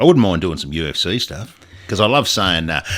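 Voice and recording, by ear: Speaking at a moderate pace with lively intonation, a man has a strong Australian accent. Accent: broad Australian.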